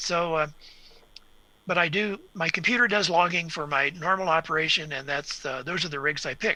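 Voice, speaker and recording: A man with an American accent talks at a high pitch in a bright, sharp tone, with ordinary pitch variation at a moderate pace. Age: 70s. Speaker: radio equipment reviewer and ham radio operator. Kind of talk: interview on live web show.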